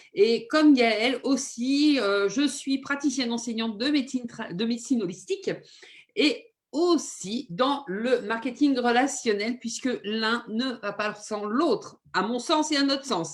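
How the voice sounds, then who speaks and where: A woman with a high pitch speaks at a fairly slow pace with lively intonation. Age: 50s. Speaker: nurse and holistic medicine practitioner. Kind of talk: informal talk on health. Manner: hesitant, many fillers.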